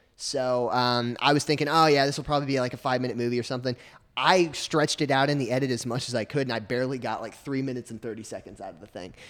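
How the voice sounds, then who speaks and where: A man with a Southern US accent talks at a very fast clip, his pitch medium and his intonation fairly even. He barely pauses at all. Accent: US South. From Arkansas. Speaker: film student. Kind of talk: casual chat.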